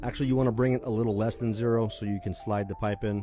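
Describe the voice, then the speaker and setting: A man's fairly low voice at a very fast pace, with fairly even intonation, a dry sound with no echo, and clear music in the background. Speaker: electrician instructor. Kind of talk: tutorial. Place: street. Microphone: phone near.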